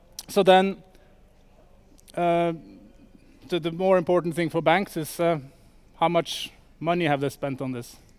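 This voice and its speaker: With a Norwegian accent, the voice moves at a fairly slow pace with ordinary pitch variation. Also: man. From Norway. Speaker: startup sales executive. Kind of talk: conference talk. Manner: halting, many fillers.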